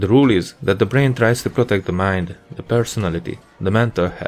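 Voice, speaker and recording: Over music in the background, a man with a non-native accent talks at a fairly quick pace with ordinary pitch variation. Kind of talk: educational commentary over gameplay. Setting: home studio microphone.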